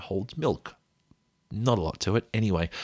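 A man with an Australian accent speaks in a relaxed, somewhat breathy tone, recorded with a dry, close sound and no echo. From Australia, rural Victoria. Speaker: podcast host, sleep storyteller. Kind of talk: sleep story narration.

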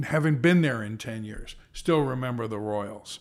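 A man speaks in an ordinary speaking voice with lively intonation at a fairly slow pace. The recording is very clean, with a silent background. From US, moved around as a child. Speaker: baseball team executive. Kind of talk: casual chat. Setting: office at a ballpark.

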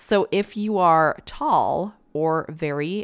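A woman with a Canadian accent speaks in an animated tone with ordinary pitch variation. The recording is very clean, with a silent background. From Canada. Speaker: podcast co-host. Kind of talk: casual chat. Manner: laughs often, animated.

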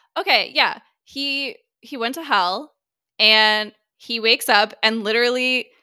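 Her fairly high-pitched voice carries lively intonation. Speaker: horror podcast co-host. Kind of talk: casual chat.

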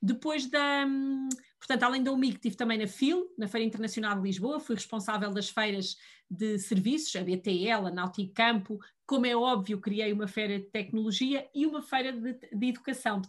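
Her somewhat breathy voice sits fairly high, moving at a fairly quick pace with ordinary pitch variation. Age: 40s. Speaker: digital policy official. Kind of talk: interview.

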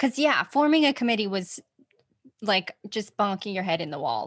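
A woman speaks with an American accent at a moderate pace. Her somewhat breathy voice has very wide pitch swings. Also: quiet background. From Utah. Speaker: podcast host. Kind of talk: casual chat.

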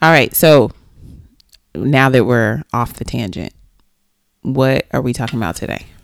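With vocal fry and a very deep, low pitch, a woman speaks at a fairly slow pace, using lively intonation and long, frequent pauses. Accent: American. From Texas. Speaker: podcast co-host. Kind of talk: casual chat.

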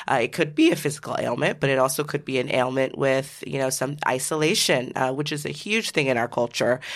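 With an American accent, a woman talks at a fairly quick pace with hardly any pauses. Her pitch is very deep and low, with ordinary variation. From US Pacific Northwest, Seattle. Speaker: physician. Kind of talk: interview.

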